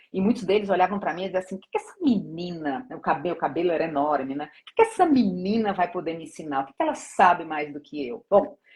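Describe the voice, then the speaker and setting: Very fast with hardly any pauses, a woman speaks in a somewhat breathy, fairly low voice with lively intonation and big swings in loudness. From Brazilian Northeast. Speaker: corporate HR director. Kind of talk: interview.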